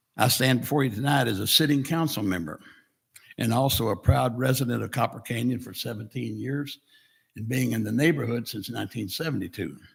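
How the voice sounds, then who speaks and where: With vocal fry throughout, the voice moves at a fairly quick pace and shows ordinary pitch variation. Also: man, medium pitch for a man. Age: 80s+. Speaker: town council member. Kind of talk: public speech at council meeting. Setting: podium at council meeting.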